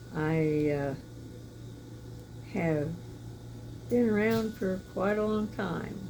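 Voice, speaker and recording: A woman speaks at a very slow pace with very wide pitch swings. Music plays in the background amid audible room echo. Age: 80s+. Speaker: churchgoer giving testimony. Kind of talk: testimony. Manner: halting, with fillers.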